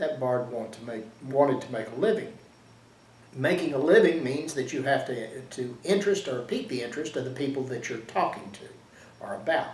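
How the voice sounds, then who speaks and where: With a Southern US accent, a man talks at a fairly quick pace and medium pitch, his intonation lively and his loudness swinging widely, amid noticeable background noise and audible room echo. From Louisiana and Texas. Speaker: history commentator. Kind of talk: casual monologue. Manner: halting, frequent fillers.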